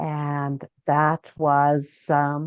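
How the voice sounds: A woman's low, clear, smooth voice at a very slow pace, monotone and flat, with a dry, close sound and no echo.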